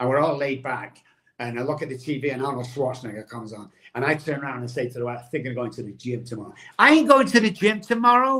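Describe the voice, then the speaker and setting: Very fast and animated, a man with a medium pitch and a bright, sharp tone talks with ordinary pitch variation and big swings in loudness. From England (Manchester). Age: 60s. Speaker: addiction recovery expert. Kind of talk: motivational interview talk.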